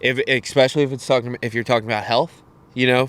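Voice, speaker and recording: A man speaks at a very fast pace with an American accent. His pitch sits in the medium range. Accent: country accent, sometimes. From Cecil County, Maryland (Elk Neck). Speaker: podcast guest. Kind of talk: casual chat.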